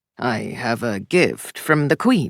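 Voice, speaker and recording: A put-on character voice growls at a low-to-middle pitch. The recording is very clean, with a silent background. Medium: read story.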